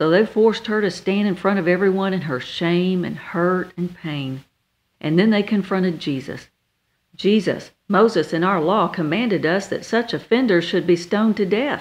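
A woman's ordinary speaking voice at a moderate pace, with ordinary pitch variation and a quiet background. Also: medium pitch for a woman. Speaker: minister. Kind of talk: radio sermon.

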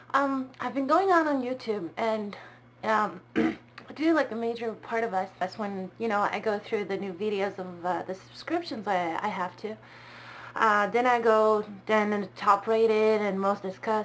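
This woman speaks with a non-native accent. Her pitch sits fairly high. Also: ordinary pitch variation, moderate pace. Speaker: vlogger. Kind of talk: casual talk to camera. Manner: hesitant, many fillers. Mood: calm, thoughtful. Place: home room. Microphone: webcam.

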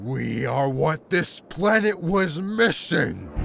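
Using a put-on character voice at a fairly high pitch, a man speaks at a very slow pace over faint music in the background. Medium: machinima. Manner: grandiose, then pleading and bitter.

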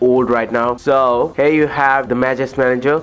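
Faint music plays behind a man who talks at a moderate pace in a monotone, flat delivery. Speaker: tech reviewer. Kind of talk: tutorial. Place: home room.

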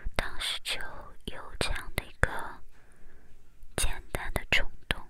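A woman is whispering. She goes at a very slow pace. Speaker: ASMR content creator. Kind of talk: ASMR whisper chat to camera. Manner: whispered, soft-spoken, slow.

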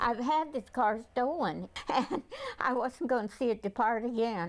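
A woman's high voice at a fairly slow pace, with ordinary pitch variation and very even loudness. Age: 70s. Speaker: carjacking victim. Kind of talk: interview answer. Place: home room. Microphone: lapel.

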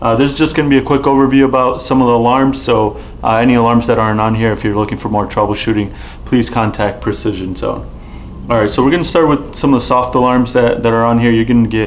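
A man talks at a very fast pace with fairly even intonation. Light background noise is present. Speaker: presenter. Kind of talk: tutorial. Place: studio.

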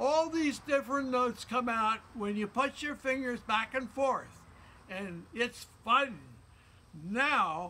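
Speaking very slowly in a raised, projected voice, a man pitches extremely high, with a bright, sharp tone and ordinary pitch variation. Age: 80s+. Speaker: flute player. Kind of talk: educational talk to young children. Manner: upbeat. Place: garden. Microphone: phone near.

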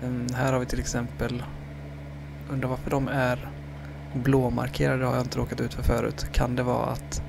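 Soft-spoken, a man leaves long, frequent pauses, with audible room echo and noticeable background noise. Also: moderate pace. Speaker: gaming YouTuber. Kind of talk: let's play commentary. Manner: halting.

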